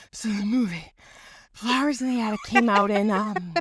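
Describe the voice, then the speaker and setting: This is a put-on character voice that sounds female, pitched fairly high. She talks at a moderate pace. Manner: slow, halting.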